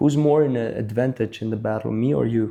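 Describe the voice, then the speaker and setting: Medium-pitched male voice in an Albanian accent, dark and mellow in tone, at a moderate pace with fairly even intonation. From Albania, moved to Belgium at eight. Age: 30s. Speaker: breakdancer, event MC and judge. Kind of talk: interview conversation.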